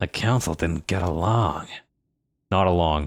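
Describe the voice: In a raspy put-on character voice with a very deep, low pitch, a man speaks at a moderate pace, and the sound is dry and close with no echo.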